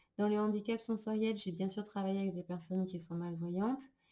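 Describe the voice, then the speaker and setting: A woman's somewhat breathy, dark, mellow voice at medium pitch, with fairly even intonation and a moderate pace. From France. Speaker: psychologist and trainer. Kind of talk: recorded online lecture. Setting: screen-shared slideshow recording. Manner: hesitant, many filler sounds.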